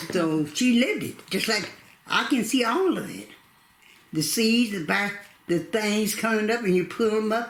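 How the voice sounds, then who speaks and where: A woman in a Southern US accent talks at a fairly slow pace and fairly high pitch, her intonation lively. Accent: Southern American. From North Carolina, USA. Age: 80s+. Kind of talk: oral history interview answer.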